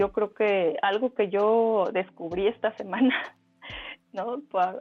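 Her fairly high voice shows ordinary pitch variation as this woman speaks. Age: 40s. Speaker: illustrator and artist. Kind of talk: casual interview chat. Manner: hesitant, many fillers and repetitions.

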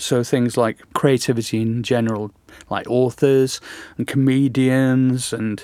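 A man with an English accent speaks at a very slow pace and with fairly even intonation, on a very clean recording with a silent background. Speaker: podcast host. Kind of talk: casual interview chat. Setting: studio.

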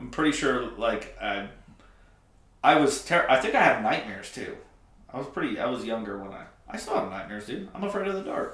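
Amid noticeable background noise and audible room echo, a man with a fairly high pitch talks at a fairly quick pace, with very wide pitch swings, big swings in loudness and long, frequent pauses. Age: 20s. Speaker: podcast co-host. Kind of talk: casual chat.

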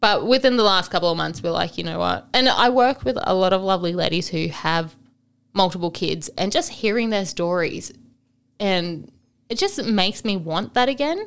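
A woman with an unremarkable speaking voice talks at a moderate pace and medium pitch, her intonation lively. The recording is very clean with a silent background. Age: 20s. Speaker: single mother sharing her story. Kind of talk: casual chat.

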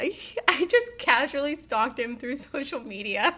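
The voice is raised and projected, with an American accent. Noticeable background noise sits behind it. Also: woman. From Ohio, US. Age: 20s. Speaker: graphic designer. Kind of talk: casual chat.

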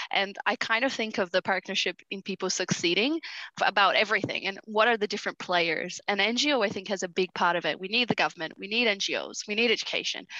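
A woman with a Brazilian accent speaks at a fairly quick pace in a medium pitch with ordinary pitch variation. Her tone is bright and sharp, and the sound is dry and close with no echo against a quiet background. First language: Portuguese. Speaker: nonprofit justice program coordinator. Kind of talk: podcast interview. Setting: remote call while on holiday.

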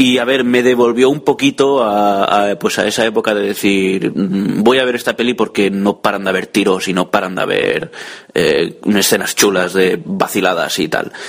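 Noticeable background noise behind a man's fairly low voice at a moderate pace, with ordinary pitch variation and hardly any pauses. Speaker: tech blogger sending a listener audio message. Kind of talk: recorded voice message. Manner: improvised, hesitant.

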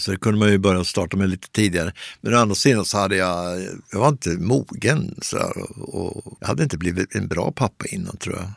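On a very clean recording with a silent background, a man speaks fairly quickly at a fairly low pitch with ordinary pitch variation, the sound dry and close with no echo. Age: 60s. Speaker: columnist. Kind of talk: interview. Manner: halting.

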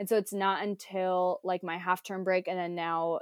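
With an American accent and an unremarkable speaking voice, the speaker keeps a moderate pace in a dry, close sound with no echo. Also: woman. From United States. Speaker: school teacher. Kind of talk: casual chat. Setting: video call.

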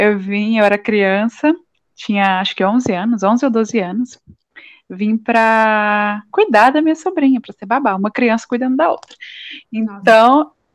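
A woman's normal speaking voice, fairly high in pitch with ordinary pitch variation, at a fairly slow pace. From Paraíba and São Vicente, Brazil. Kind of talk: casual chat.

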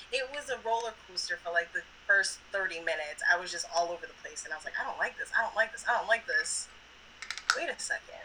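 Over noticeable background noise, a woman talks at a fairly quick pace with big swings in loudness and long, frequent pauses. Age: 30s. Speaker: podcast guest, cannabis enthusiast. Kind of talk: casual chat.

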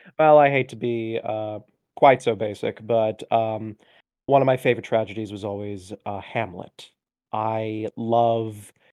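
A man with an American accent at a medium pitch, fairly slow and fairly even in intonation, with big swings in loudness. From US South. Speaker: book editor. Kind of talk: interview. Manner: rambling.

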